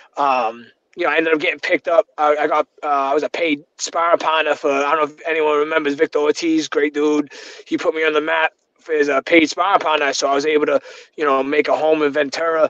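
Against a quiet background with a dry sound and no echo, a man rushes along at a very fast pace in a flat monotone. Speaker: remote guest. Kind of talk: interview answer. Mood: reflective, warm.

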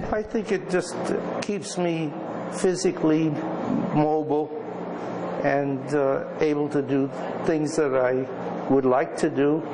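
A man's voice, very slow, with long, frequent pauses over noticeable background noise. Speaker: fitness program participant. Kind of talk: interview answer. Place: gym.

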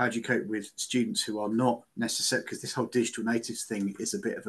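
Someone male is speaking here. He talks very fast. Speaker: educator; audience member. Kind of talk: seminar Q&A. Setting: video call. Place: office. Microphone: video call.

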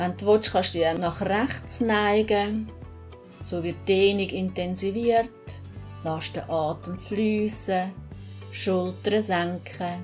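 With faint music playing behind her, a woman talks at a very slow pace, leaving long, frequent pauses. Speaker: yoga teacher. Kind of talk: yoga class instruction. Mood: calm, soothing guidance. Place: gym. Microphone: camera far.

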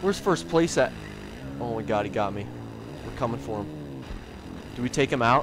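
With music in the background, a man speaks with long, frequent pauses and very wide pitch swings. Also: fairly low pitch for a man, moderate pace. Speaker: gaming YouTuber. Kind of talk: gameplay commentary. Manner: excited, energetic.

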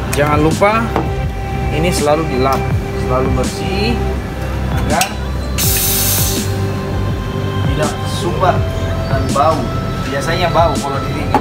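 A man talks at a fairly slow pace with long, frequent pauses over loud background music. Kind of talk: tutorial. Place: cafe. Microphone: phone near.

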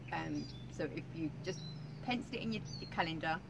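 A woman with a fairly low voice is heard through noticeable background noise. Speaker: vlogger. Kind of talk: casual vlog chat. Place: garden. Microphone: camera far.

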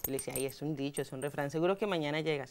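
Very fast speech from a woman. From Colombia, Bogotá. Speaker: journalist. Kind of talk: interview. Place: studio. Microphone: lapel.

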